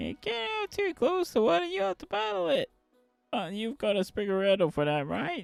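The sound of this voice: A man's high, put-on character voice with very wide pitch swings, faint music in the background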